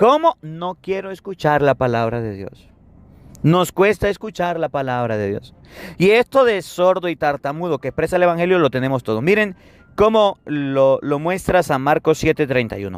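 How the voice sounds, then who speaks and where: The man's tone is animated, his pitch fairly high and swinging very widely. The sound is dry and close, with no echo. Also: moderate pace. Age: 30s. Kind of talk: sermon.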